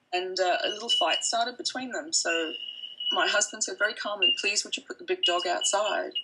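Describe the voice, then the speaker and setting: Amid noticeable background noise, a woman with a high pitch speaks in a raised, projected voice at a fairly quick pace, her pitch swinging very widely. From Fiji. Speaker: interviewee recounting police raid. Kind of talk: interview testimony. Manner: halting, many fillers.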